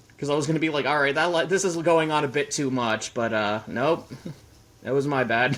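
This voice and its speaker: Fairly quick male speech over noticeable background noise. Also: fairly high pitch for a man, ordinary pitch variation, very even loudness. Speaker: podcast guest. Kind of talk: casual chat. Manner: quiet.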